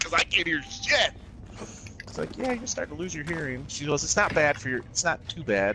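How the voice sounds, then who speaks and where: A man speaks fairly quickly while noticeable noise fills the background. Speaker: gaming friend. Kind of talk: casual chat. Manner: loud.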